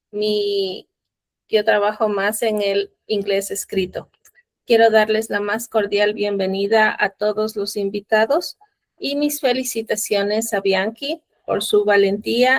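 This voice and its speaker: Speaking at a moderate pace with a Spanish accent, a woman keeps fairly even intonation at a fairly high pitch. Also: dry, close sound with no echo. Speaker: club officer. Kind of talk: welcome address. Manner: halting.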